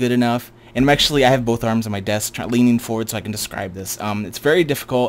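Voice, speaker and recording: The pitch of this man's voice sits in the middle range. Its rise and fall stay ordinary. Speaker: gaming youtuber. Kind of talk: gameplay tutorial commentary. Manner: fast; casual with fillers.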